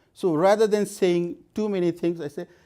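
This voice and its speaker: Speaking at a moderate pace with a non-native accent, a man's high voice carries a dark, mellow tone on a very clean recording with a silent background. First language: not English. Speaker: conference speaker. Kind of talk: conference talk. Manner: halting, with frequent repetitions.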